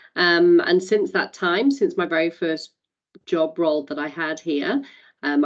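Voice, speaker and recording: A woman speaks with a Welsh accent. Her pitch varies in an ordinary way, at a moderate pace. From Wales. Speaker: community advisory council member. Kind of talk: meeting introduction.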